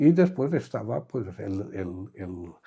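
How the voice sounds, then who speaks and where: A man's fairly low, dark and mellow voice, somewhat breathy, with ordinary pitch variation and a very slow pace. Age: 80s+. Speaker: war survivor. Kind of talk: interview answer.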